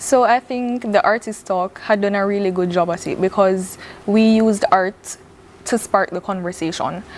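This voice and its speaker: A woman with a Jamaican accent talks at a moderate pace and medium pitch, her intonation fairly even, with noticeable background noise behind her. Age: young. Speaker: visual artist. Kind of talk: TV interview.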